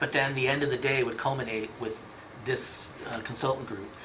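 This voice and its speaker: Over noticeable background noise and audible room echo, a man talks at a fairly quick pace in a monotone, flat intonation. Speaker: town official presenting at committee meeting. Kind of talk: public meeting presentation. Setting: town committee meeting. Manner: fast.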